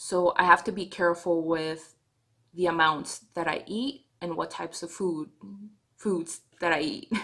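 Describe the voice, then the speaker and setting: A woman with a non-native accent speaks at a fairly slow pace in a bright, sharp tone, with a fairly low pitch and ordinary pitch variation. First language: not English. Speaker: vlogger. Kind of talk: video diary. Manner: halting.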